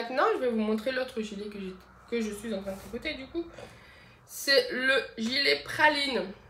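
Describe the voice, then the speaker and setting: The speech moves at a moderate pace with long, frequent pauses. There is audible room echo and noticeable background noise. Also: woman, fairly high pitch for a woman, lively intonation. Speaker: knitting podcaster. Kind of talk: casual podcast monologue. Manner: hesitant, many fillers.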